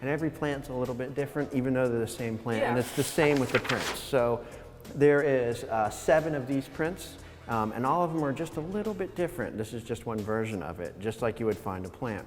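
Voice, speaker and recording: With noticeable background noise behind him, a man speaks at a fairly quick pace, his medium pitch rising and falling in lively intonation. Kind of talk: interview answer. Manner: hesitant, conversational.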